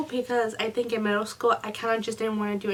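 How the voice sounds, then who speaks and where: Her pace is fairly quick and her pitch fairly high. Noticeable background noise can be heard behind the woman. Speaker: book reviewer. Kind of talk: casual talk to camera.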